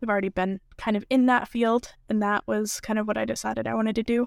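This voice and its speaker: A woman with an American accent and a normal speaking voice talks at a medium pitch and fairly quick pace with fairly even intonation. The recording is very clean with a silent background and a dry, close sound with no echo. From Massachusetts. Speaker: biotech student. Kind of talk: interview. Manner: many filler words.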